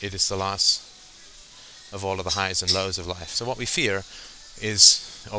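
Noticeable background noise sits behind the recording. A man with a very deep, low voice speaks at a moderate pace. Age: 40s. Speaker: podcast host. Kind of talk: solo monologue. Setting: at the gym. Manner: halting with fillers.

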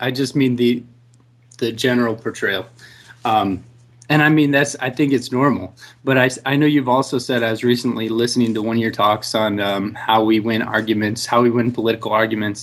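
Here is a plain, everyday voice, a man at medium pitch with an American accent. He talks at a fairly quick pace with fairly even intonation. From Texas. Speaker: public high school teacher. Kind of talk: call-in discussion.

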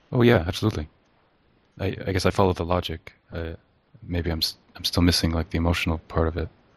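Talking at a very fast pace yet with long, frequent pauses, a man with a very deep, low pitch sounds somewhat breathy and keeps fairly even intonation. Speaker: listener caller. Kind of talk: personal conversation about childhood. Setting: video call.

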